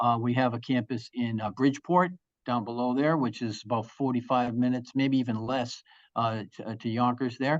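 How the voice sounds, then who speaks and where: Speech comes at a fairly quick pace over a quiet background. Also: man. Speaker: school representative. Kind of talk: presentation. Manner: fast.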